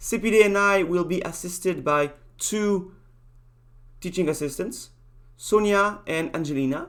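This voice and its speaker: The speaker talks with a strong French accent, leaving long, frequent pauses. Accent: thick French. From France. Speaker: university lecturer. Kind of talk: lecture. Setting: video call. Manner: halting.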